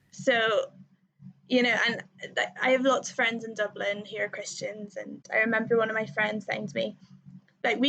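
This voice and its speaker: Using an Irish accent, a woman talks at a moderate pace. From Northern Ireland. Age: 20s. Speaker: music therapist in training. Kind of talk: casual chat.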